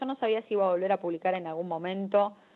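At a very fast pace, a woman talks with a medium pitch and fairly even intonation. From Argentina. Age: 30s. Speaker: writer and literature teacher. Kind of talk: interview. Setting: phone call.

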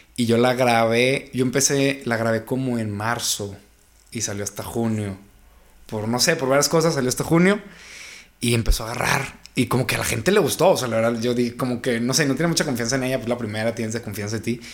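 Using an ordinary speaking voice, a man of medium pitch talks at a fairly quick pace with ordinary pitch variation. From Mexico, La Laguna region. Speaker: urban music singer. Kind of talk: interview.

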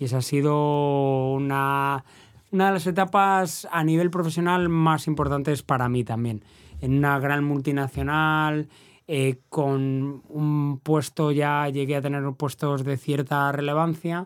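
On a very clean recording with a silent background, a man speaks very slowly in a fairly high pitch. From Valladolid, Spain. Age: 50s. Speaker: race announcer. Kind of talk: casual chat.

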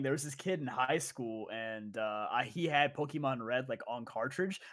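A man with a plain, everyday voice talks at a fairly quick pace, hardly pausing at all. His loudness swings widely and his intonation is lively. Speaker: podcast co-host. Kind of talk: casual chat.

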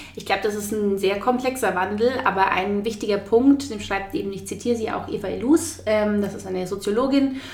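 Speaking fairly quickly, a woman with a medium pitch and ordinary pitch variation is heard over noticeable background noise, with big swings in loudness and audible room echo. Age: 20s. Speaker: journalist and author. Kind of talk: interview.

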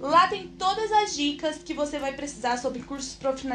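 Her voice sits high in pitch and her intonation is lively. The woman is heard with audible room echo. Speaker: podcast host, exchange-study advisor. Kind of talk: solo podcast tutorial. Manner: slow, deliberate.

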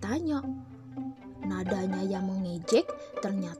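What we hear is plain reading aloud.

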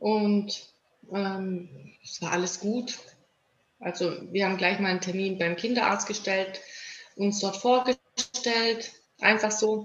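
Very slow and broken by long, frequent pauses, a woman's speech sits at a medium pitch with fairly even intonation. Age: 30s. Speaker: mother of premature babies. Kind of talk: interview. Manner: halting, many filler words.

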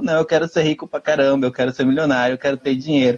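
Very fast male speech, the intonation fairly even. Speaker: cultural commentator, live show host. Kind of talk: casual chat.

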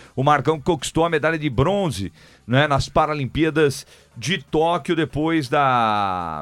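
Over music in the background, a man talks at a fairly slow pace with a fairly high pitch. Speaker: radio sports host. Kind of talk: live radio show. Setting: radio studio.

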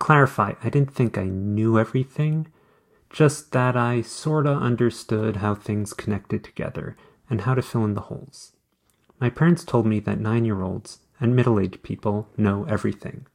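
At a moderate pace and medium pitch, a man talks in a plain, everyday voice with ordinary pitch variation. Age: 40s. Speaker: blogger and podcaster. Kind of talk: reading own blog post aloud.

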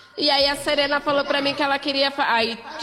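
A woman's high-pitched voice at a very fast pace, over noticeable background noise. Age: 30s. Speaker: poet and activist. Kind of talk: casual interview.

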